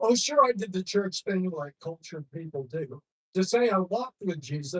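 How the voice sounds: It's a natural reading voice with lively intonation. The background is quiet.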